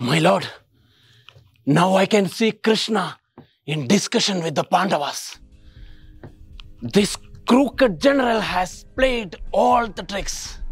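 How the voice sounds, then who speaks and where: In a put-on character voice, a man speaks high-pitched, raspy and excited, at a fairly slow pace. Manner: sly, excited.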